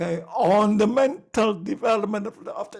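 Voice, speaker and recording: At a fairly slow pace, a man talks in a high pitch for a man. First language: not English. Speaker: lecturer. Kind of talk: lecture. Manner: halting, many fillers.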